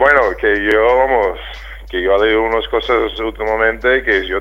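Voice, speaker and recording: At a moderate speed, a man speaks with an English accent. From United States. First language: English (speaking Spanish). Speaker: retired basketball player. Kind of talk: interview. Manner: halting.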